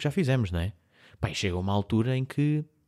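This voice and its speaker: A man talks at a very fast pace. The recording is very clean, with a silent background and a dry, close sound with no echo. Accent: European Portuguese. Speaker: podcast co-host. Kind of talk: casual chat.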